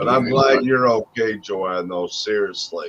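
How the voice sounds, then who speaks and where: This man talks at a very slow pace with an American accent. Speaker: streamer. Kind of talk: casual chat. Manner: loud.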